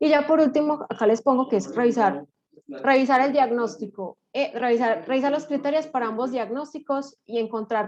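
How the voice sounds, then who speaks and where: Her voice sits high in pitch. The woman talks at a fairly quick pace. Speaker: neuropsychologist presenting a clinical case. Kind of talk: case presentation to a study group. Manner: fast; stumbles over words.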